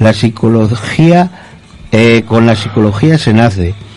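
A man speaks at a fairly slow pace with ordinary pitch variation. Noticeable background noise runs underneath. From Spain, Zamora. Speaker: resident contributor on community radio. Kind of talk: reading own essay aloud. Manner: halting.

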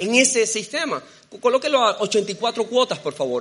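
Against noticeable background noise, a man with a high pitch speaks in a raised, projected voice with ordinary pitch variation. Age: 30s. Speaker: preacher. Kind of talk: sermon.

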